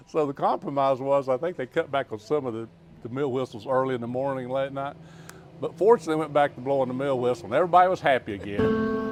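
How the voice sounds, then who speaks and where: A man with an Appalachian accent talks very fast in a fairly high pitch, his intonation lively, over noticeable background noise. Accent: Southern US (Appalachian). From US South, western North Carolina. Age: 60s. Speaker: former mayor. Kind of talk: interview. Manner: halting.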